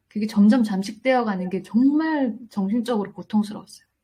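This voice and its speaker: On a very clean recording with a silent background, a woman speaks in a fairly high voice. Her tone is dark, mellow and somewhat breathy. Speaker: independent animation director. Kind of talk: interview. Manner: gentle, warm; hesitant, with fillers.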